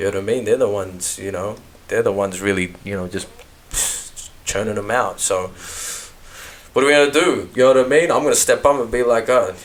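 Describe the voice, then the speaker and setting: A man with an Australian accent speaks very fast in a medium pitch with ordinary pitch variation. He leaves long, frequent pauses. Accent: natural Australian. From Melbourne, Australia. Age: 30s. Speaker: rapper. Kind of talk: casual interview chat. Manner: animated.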